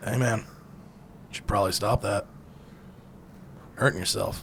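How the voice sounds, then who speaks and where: A man puts on a raspy character voice at a fairly low pitch and a moderate pace. Background noise is clearly audible. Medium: actual play. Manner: blunt, cocky, casual tough-guy.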